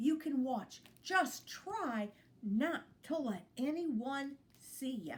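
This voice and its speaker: A woman puts on a gruff, growling character voice, pitched high and delivered at a very slow pace. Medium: read story. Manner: gruff, growly.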